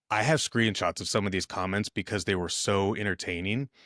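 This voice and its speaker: In a very clean recording with a silent background, a man speaks at a fairly quick pace with a fairly low pitch and ordinary pitch variation. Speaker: podcast guest, fitness video creator.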